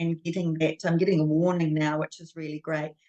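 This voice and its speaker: A woman speaks in a New Zealand accent. Her voice is fairly low, with monotone, flat intonation. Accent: New Zealand accent, delicate. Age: 60s. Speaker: guest sharing health story. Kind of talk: interview testimony. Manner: hesitant, many fillers.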